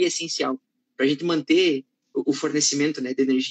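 This man has a southern Brazilian accent and talks at a moderate pace, recorded with a dry, close sound and no echo. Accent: gaúcho Portuguese. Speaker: live-stream host. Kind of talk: live-stream interview. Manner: animated.

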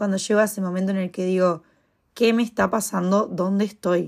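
A woman talks at a medium pitch in a monotone, flat intonation. The recording is very clean and the background silent. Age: 20s. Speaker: podcast host and freelance model. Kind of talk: casual solo monologue.

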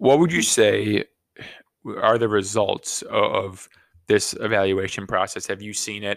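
In a very clean recording with a silent background, a man speaks at a fairly slow pace with big swings in loudness. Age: 30s. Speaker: podcast co-host. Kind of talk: casual chat. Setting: living room.

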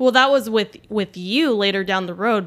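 The speaker is a woman with an unremarkable speaking voice. Her pitch varies in an ordinary way. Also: very clean recording, silent background. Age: 30s. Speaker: energy healer, host's wife. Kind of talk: casual chat.

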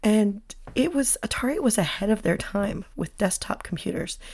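A woman's somewhat breathy, medium-pitched voice at a moderate pace. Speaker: podcast host. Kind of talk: casual solo podcast talk. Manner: chatty, with laughs.

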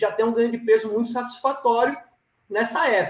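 The pitch of this man's voice is extremely high. He speaks at a fairly quick pace. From Brazil, Maceió, Alagoas (Northeast). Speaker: cattle rancher and farm management consultant. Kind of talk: podcast interview. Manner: halting, many fillers and repetitions.

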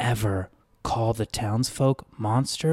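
A natural voice, reading aloud

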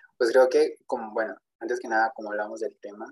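The voice belongs to a man. The sound is dry and close, with no echo. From Texas. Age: 20s. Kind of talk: testimony.

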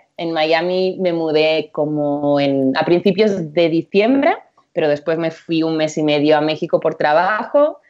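This woman has an unremarkable speaking voice, pitched fairly low. She talks at a fairly slow pace. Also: ordinary pitch variation. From Catalonia, Spain (Empordà). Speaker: nutritionist. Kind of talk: interview.

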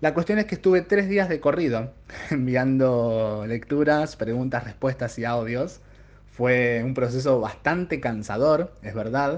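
A man with a normal speaking voice talks at a medium pitch. His pace is moderate and his intonation lively. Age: 30s. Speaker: tarot reader and podcast host. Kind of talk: solo podcast monologue.

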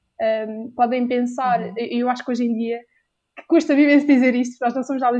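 A woman with a European Portuguese accent speaks at a moderate pace in a high pitch, with a dark, mellow tone and monotone, flat intonation. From Portugal. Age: 20s. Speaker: university student and volunteer. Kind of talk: casual interview.

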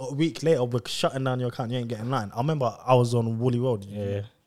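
A man with a London accent talks very fast at a medium pitch, his pitch rising and falling in an ordinary way. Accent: London multicultural youth. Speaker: podcast host. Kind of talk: casual banter.

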